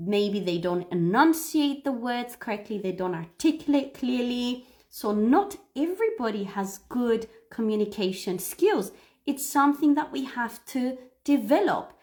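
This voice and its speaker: Speaking in a non-native accent, a woman talks at a fairly slow pace. Her high voice moves through very wide pitch swings. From Cyprus. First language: Greek. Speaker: English teacher. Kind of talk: live stream lesson. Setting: live stream. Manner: animated.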